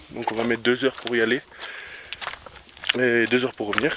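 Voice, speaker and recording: Speaking at a moderate pace, a man with a medium-pitched voice is heard over noticeable background noise. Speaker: travel vlogger. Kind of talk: vlog narration while hiking. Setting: outdoors hiking. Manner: casual, filler-heavy.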